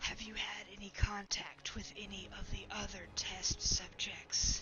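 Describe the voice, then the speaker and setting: Someone whispers in a raspy, put-on character voice at a fairly slow pace. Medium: actual play. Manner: cold, probing.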